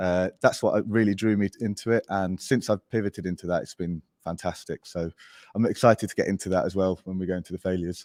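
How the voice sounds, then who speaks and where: On a very clean recording with a silent background and a dry, close sound with no echo, a man with an English accent speaks at a very fast pace in a very deep, low pitch with fairly even intonation. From Spain. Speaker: agency founder. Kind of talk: podcast interview.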